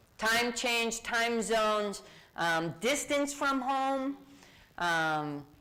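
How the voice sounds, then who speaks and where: A woman's fairly high, bright and sharp voice with a Massachusetts accent, very slow in pace and full of very wide pitch swings. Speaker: diversity speaker. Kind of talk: interactive workshop talk. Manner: animated.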